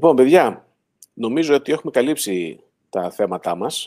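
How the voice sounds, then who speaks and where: Over a silent background in a very clean recording, a man speaks at a fairly slow pace with lively intonation. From Greece, Kozani (Western Macedonia). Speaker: online show host, electric car owner. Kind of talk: casual panel discussion, live stream.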